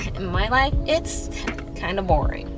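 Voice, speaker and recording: Speech comes at a fairly slow pace over music in the background. The sound is dry, with no echo. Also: woman. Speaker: college student vlogger. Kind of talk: casual vlog chat. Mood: playful, self-mocking. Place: car. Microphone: phone near.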